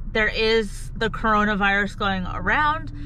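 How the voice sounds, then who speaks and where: A woman with a bright, sharp tone speaks at a fairly slow pace, the sound dry with no echo over light background noise. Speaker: paranormal vlogger. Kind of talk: casual vlog chat. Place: car. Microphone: phone near.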